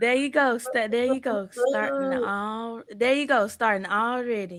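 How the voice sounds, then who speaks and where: A woman's high pitch at a fairly slow pace, with fairly even intonation. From Arkansas. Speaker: podcast host. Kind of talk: casual podcast interview. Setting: at home. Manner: soft-spoken.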